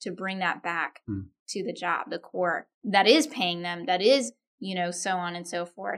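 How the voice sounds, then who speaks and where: Here is a woman with an unremarkable speaking voice and an American accent. She speaks at a fairly slow pace with ordinary pitch variation. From Texas, Austin; parents from India. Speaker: organization development consultant and author. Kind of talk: interview.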